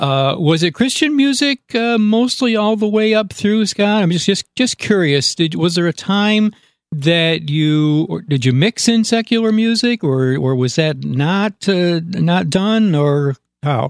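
A man with an American accent speaks at a high pitch with very wide pitch swings, in a dry, close sound with no echo. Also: fairly slow pace, very even loudness. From upstate New York. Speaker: podcast host. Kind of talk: casual interview. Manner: halting.

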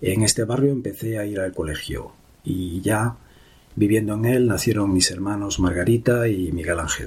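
Ordinary pitch variation and a moderate pace in a somewhat breathy voice. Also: man, fairly low pitch for a man. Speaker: memoir narrator. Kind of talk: reading aloud.

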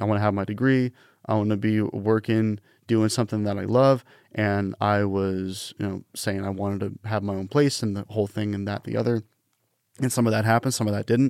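An American accent in a monotone, flat delivery at a fairly quick pace, with a dry, close sound with no echo on a very clean recording with a silent background. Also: man, fairly low pitch for a man. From Washington State, Pacific Northwest. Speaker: radio production manager. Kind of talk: casual interview.

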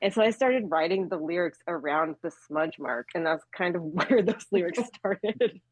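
With hardly any pauses, a woman with a fairly low pitch and lively intonation keeps a moderate pace in a plain, everyday voice. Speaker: band member. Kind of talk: casual interview chat.

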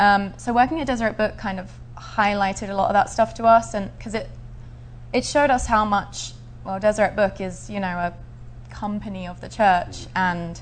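A woman with a southern English accent at a fairly quick pace. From Essex, England. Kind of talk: interview. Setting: studio.

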